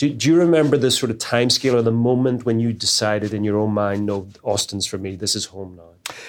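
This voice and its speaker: Over a silent background in a very clean recording, a man talks at a very fast pace. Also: medium pitch for a man, ordinary pitch variation, hardly any pauses. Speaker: podcast host. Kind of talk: interview.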